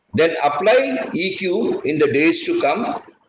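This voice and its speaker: The speaker is a man. Audible room echo can be heard. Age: 70s. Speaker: retired naval officer and teacher. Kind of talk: lecture.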